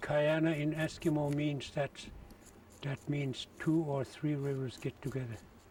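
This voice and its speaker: Speaking at a fairly slow pace, a man uses a somewhat breathy, fairly high voice with monotone, flat intonation. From Alaska, Kobuk River area. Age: 70s. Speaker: trapper and sled maker. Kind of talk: interview.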